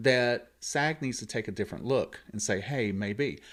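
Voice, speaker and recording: In a Southern accent, a man speaks at a medium pitch with ordinary pitch variation and a fairly slow pace. The recording is very clean, with a silent background. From US South, Columbus Georgia. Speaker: actor and radio host. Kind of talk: casual chat.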